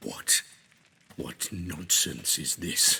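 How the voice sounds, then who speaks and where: This is a man's put-on character voice. Its pitch is very deep and low. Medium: video game. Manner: formal, intense.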